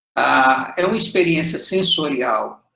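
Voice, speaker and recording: Lively in intonation, a man with a bright, sharp tone speaks in a raised, projected voice. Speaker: medical lecturer. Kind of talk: lecture.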